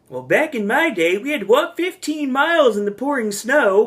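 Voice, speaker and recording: A put-on character voice carries the speech, set at a fairly high pitch. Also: moderate pace. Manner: wise.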